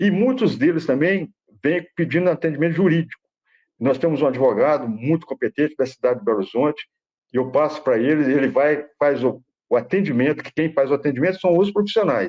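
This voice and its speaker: Here a man talks at a fairly quick pace with lively intonation. His pitch is fairly high. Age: 60s. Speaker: father running a suicide-prevention institute. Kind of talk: interview. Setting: live-streamed online interview. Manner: halting, with many repetitions and restarts.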